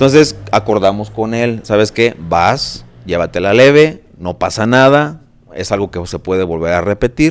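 A man talks at a moderate pace with a fairly low pitch. His pitch swings very widely and his loudness rises and falls sharply. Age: 40s. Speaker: marathon runner and architect. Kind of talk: casual chat.

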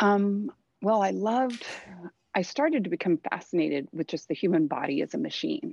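A woman with an American accent talks at a fairly quick pace and medium pitch, swinging very widely in pitch, in a dry, close sound with no echo. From Southern California, Thousand Oaks. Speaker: artist. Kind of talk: interview conversation.

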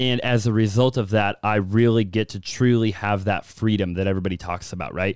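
Fairly even intonation with hardly any pauses. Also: man, fairly low pitch for a man. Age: 20s. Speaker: entrepreneur and real estate investor. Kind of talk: casual chat.

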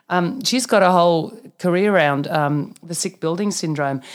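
This woman speaks with an Australian accent in a fairly low pitch. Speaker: naturopath and functional medicine practitioner. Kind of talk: interview. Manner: animated.

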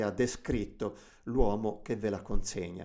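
The speaker is a man. He talks with a Tuscan accent. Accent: Tuscan, drawn-out C and G sounds. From Tuscany. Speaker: radio host. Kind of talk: music show presenting. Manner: hesitant with fillers.

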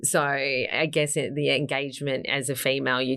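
A woman with an Australian accent. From Gold Coast, Queensland, Australia. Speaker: modeling agency founder. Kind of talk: interview.

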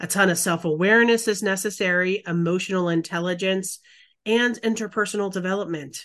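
A woman with a medium pitch speaks at a fairly quick pace in a plain, everyday voice, her intonation fairly even over a quiet background. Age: 40s. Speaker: podcast co-host. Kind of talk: casual chat.

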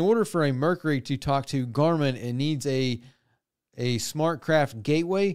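An ordinary speaking voice from a man, fairly high in pitch with ordinary pitch variation, at a fairly slow pace, on a very clean recording with a silent background. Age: 30s. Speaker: boat repair educator and show host. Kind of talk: casual Q&A tutorial. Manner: casual, with frequent fillers like um.

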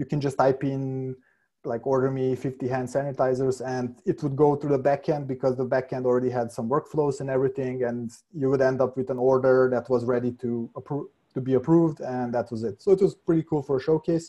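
At a fairly quick pace, a man speaks in a dark, mellow tone with fairly even intonation and a medium pitch. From Hungary/Serbia, lives in Vienna. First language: Hungarian and Serbian. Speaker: senior software developer. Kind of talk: casual interview chat. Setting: remote call.

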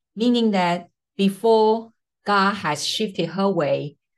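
A woman speaking at a slow pace

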